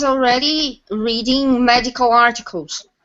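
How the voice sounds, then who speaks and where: The speaker talks at a very slow pace in a Portuguese accent. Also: woman. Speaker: English teacher and software tester. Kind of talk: casual panel discussion on video call.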